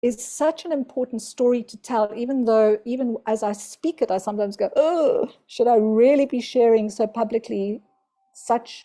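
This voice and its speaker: A woman's fairly high voice has a dark, mellow tone and ordinary pitch variation. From South Africa. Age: 60s. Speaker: spiritual teacher. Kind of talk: interview.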